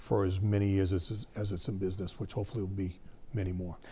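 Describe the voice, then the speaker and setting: With an American accent, a man speaks at a very fast pace in a fairly low pitch, somewhat breathy, with a dark, mellow tone and fairly even intonation. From Massachusetts (Sharon). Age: 60s. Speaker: business founder. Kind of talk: interview.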